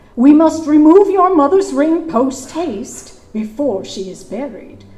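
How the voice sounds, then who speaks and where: A woman performs a put-on character voice at a high pitch, with very wide pitch swings. She goes at a fairly slow pace, with big swings in loudness. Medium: stage play. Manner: stiff, old-fashioned formal speech.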